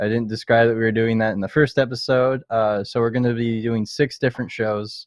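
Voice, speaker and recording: A man with a Canadian accent at a fairly quick pace, in monotone, flat intonation. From Canada. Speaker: podcast host. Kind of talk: casual chat.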